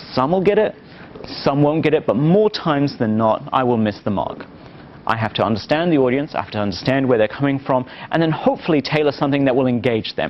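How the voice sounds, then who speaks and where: With noticeable background noise behind him, a man talks at a very fast pace in a fairly high pitch with lively intonation. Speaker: marketing professor. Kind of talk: lecture.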